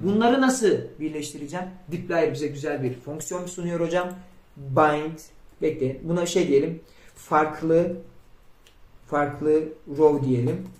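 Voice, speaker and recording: Speaking at a very slow pace, a man uses a fairly high pitch and leaves long, frequent pauses. Audible echo fills the room. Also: ordinary pitch variation. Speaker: programming instructor. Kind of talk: tutorial.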